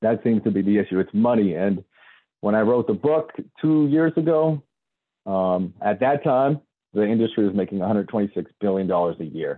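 A man with an ordinary speaking voice, fairly low pitch, lively intonation, very even loudness, and a moderate pace. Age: 30s. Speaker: independent health researcher and author. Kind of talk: interview.

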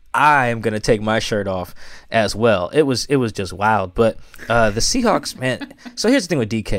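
Speaking at a moderate pace with an American accent, a man has a normal speaking voice at a medium pitch, captured in a very clean recording with a silent background. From US Pacific Northwest, Seattle. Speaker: sports writer. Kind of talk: casual chat.

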